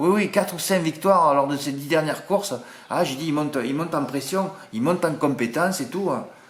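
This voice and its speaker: Noticeable background noise sits behind fairly quick speech with ordinary pitch variation. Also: man, fairly high pitch for a man. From southern France (Marseille). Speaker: horse racing tipster. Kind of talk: casual chat to viewers, reading comments. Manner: animated, chatty.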